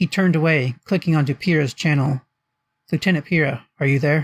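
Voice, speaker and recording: The voice is somewhat breathy, at a fairly quick pace with fairly even intonation. The sound is dry and close, with no echo. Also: man. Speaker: author reading own fiction. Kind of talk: audiobook narration.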